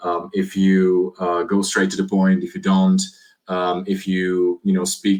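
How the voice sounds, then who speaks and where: A man with a Slovak accent speaks at a fairly slow pace. His very deep, low voice has monotone, flat intonation. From Slovakia. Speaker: IT security executive. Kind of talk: podcast interview. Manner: halting.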